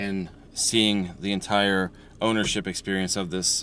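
A man's fairly low voice at a very slow pace, with a dry sound and no echo. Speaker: car vlogger. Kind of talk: casual vlog chat. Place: car. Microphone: phone near.

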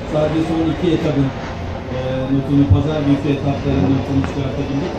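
Loud background noise and audible room echo surround a man speaking at a fairly quick pace. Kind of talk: interview answer. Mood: calm, modest. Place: street.

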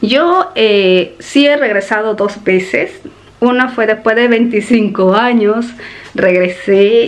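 The woman's intonation rises and falls in a lively way. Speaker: vlogger. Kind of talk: casual vlog chat. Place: home room. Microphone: phone near.

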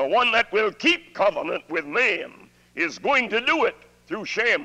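A man speaks in a high, raised and projected voice at a fairly slow pace. His tone is bright and sharp, with very wide pitch swings. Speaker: preacher. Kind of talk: sermon.

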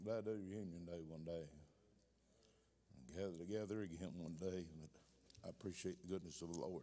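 This man talks at a fairly quick pace in a low pitch, his tone dark and mellow and his intonation fairly even.

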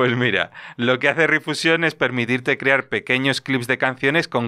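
A man's medium-pitched voice with a bright, sharp tone, ordinary pitch variation and a moderate pace against a quiet background. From Spain. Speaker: tech podcast co-host, former vocational teacher. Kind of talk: casual chat. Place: studio. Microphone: studio mic.

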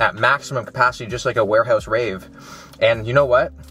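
A man talks at a fairly quick pace with ordinary pitch variation, the sound dry with no echo and faint music in the background. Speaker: fitness vlogger. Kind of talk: casual vlog chat. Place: car.

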